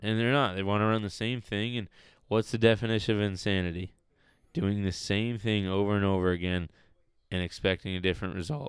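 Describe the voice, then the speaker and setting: A man talks at a fairly quick pace, his fairly low pitch held to a fairly even intonation, on a very clean recording with a silent background. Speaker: podcast co-host. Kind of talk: casual chat. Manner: loud, casual.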